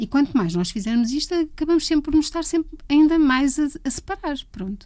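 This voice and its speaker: A woman speaks with a dark, mellow tone. Her intonation is lively and her pace moderate. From Portugal, Leiria. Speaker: music photographer. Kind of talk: interview.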